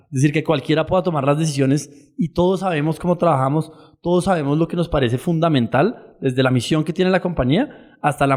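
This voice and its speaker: The man's fairly high voice holds fairly even intonation as he talks at a fairly quick speed. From Colombia. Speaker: startup founder. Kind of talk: podcast interview.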